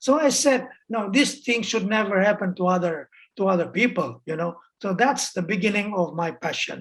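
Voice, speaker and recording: Somewhat breathy and medium in pitch, a woman talks at a moderate pace with lively intonation. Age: 60s. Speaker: human rights activist. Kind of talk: interview. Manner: halting, many fillers and repetitions.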